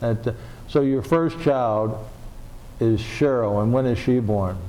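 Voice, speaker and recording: A man talks at a fairly slow pace and medium pitch. His pitch varies in an ordinary way, with audible room echo. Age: 70s. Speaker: oral history interviewer. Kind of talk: oral history interview. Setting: public library.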